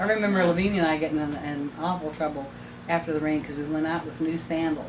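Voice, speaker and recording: Against noticeable background noise, a woman with a very deep, low pitch talks very fast with fairly even intonation. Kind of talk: casual reminiscing among sisters.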